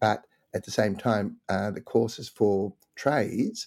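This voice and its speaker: At a fairly slow pace, the speaker's dark, mellow tone comes through in an Australian accent on a very clean recording with a silent background. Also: man. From Europe, moved to Australia at nine. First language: a European language. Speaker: guest, host's father. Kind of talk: casual conversation. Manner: hesitant, many fillers.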